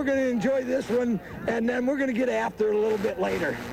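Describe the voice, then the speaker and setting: A man with an American accent speaks in a high pitch at a very fast pace against noticeable background noise. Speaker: high school football coach. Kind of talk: post-game interview. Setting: outdoors on football field.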